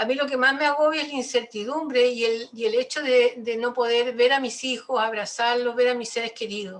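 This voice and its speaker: A woman's high voice with fairly even intonation and hardly any pauses. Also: fairly quick pace. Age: 70s. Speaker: audience member. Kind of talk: audience question.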